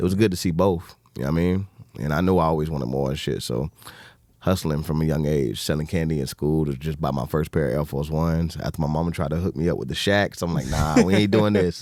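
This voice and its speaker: A man talks at a very fast pace in a Southern US accent. His pitch is very deep and low. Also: ordinary pitch variation. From US South, Alabama. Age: 30s. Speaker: entrepreneur. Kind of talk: casual chat.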